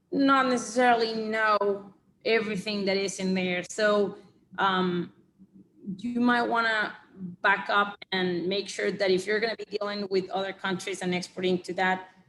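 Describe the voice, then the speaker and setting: In a Spanish accent, a woman talks at a moderate pace with medium pitch and fairly even intonation. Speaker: export compliance consultant. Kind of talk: webinar presentation with Q&A. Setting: online webinar. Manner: halting, many fillers and repeated words.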